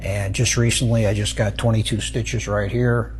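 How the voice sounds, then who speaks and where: Male speech at moderate speed, noticeable background noise behind it. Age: 70s. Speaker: jiu-jitsu practitioner. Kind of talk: interview testimony.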